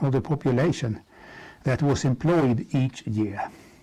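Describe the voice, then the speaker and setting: A man's fairly high, somewhat breathy voice, dark and mellow in tone, at a fairly slow pace. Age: 70s. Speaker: economic analyst. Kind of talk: presentation. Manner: formal.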